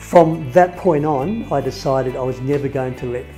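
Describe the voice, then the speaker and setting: Music plays in the background as a man speaks at medium pitch. His pace is moderate and his pitch varies in an ordinary way. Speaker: person who stutters. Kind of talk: personal story talk.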